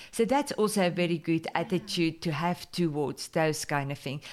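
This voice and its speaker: A woman with a strong Afrikaans accent speaks with lively intonation on a very clean recording with a silent background. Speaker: podcast host and business mentor. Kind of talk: casual interview.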